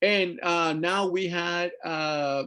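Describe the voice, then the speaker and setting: Against a quiet background, a man speaks in a high voice with ordinary pitch variation. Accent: Spanish. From Mexico. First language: Spanish. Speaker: artist and activist. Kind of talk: artist talk presentation. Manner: halting, many fillers.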